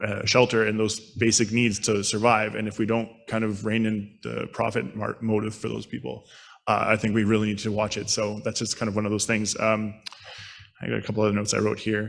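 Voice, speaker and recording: Speaking at a fairly quick pace, a man keeps a fairly low pitch with monotone, flat intonation. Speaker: street outreach worker. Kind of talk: conference panel talk. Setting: conference panel. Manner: fast.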